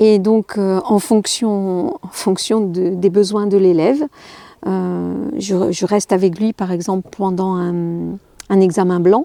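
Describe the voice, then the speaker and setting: Dry and close with no echo, a woman's dark, mellow tone unfolds very slowly with ordinary pitch variation. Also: medium pitch for a woman. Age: 60s. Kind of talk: interview conversation. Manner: halting, many hesitations.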